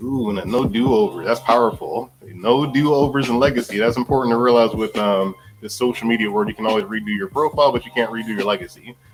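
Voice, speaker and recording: A man with a medium-pitched voice talks at a very fast pace with hardly any pauses and ordinary pitch variation, over noticeable background noise. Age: 40s. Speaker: live show host, life insurance agent. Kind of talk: live interview show.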